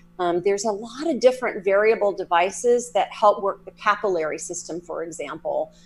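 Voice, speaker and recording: At a fairly quick pace, a woman with an American accent speaks at a medium pitch with ordinary pitch variation. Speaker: psychic medium and energy healer. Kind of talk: interview.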